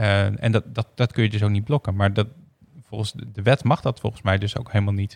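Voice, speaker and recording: A man with an ordinary speaking voice talks at a fairly quick pace, fairly low in pitch with fairly even intonation. The recording is very clean with a silent background and a dry, close sound with no echo. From Groningen, Netherlands. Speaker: tech company CTO, co-host. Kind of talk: casual chat.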